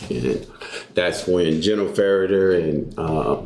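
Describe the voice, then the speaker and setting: A man with a Texan accent speaks at a moderate pace in a very deep, low pitch with ordinary pitch variation. Audible room echo and noticeable background noise fill the recording. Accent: Texan US Southern. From Texas. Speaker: jiu-jitsu coach and army veteran. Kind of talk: casual interview.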